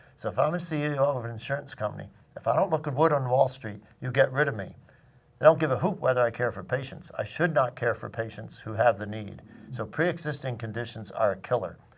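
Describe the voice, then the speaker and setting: Speaking at a very fast pace, a man has a medium pitch with ordinary pitch variation. His voice is somewhat breathy, with big swings in loudness. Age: 80s+. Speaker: retired physician. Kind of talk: panel discussion. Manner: halting.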